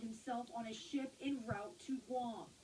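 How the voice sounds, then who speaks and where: A woman talks in a high pitch with ordinary pitch variation. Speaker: TV news reporter. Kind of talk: TV news report narration.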